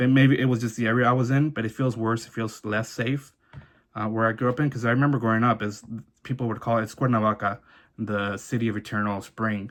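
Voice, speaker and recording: In a Southern California accent, a man speaks at a medium pitch with monotone, flat intonation. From Orange County, California (born in Mexico, arrived at age one). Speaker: vlogger sharing immigrant life story. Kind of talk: personal testimony monologue. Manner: fast, halting with false starts.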